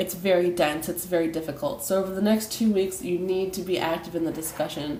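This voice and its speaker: There is audible room echo around a woman with a fairly low pitch. She talks at a fairly quick pace with ordinary pitch variation. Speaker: college instructor. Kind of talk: recorded online lecture. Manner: hesitant, many fillers.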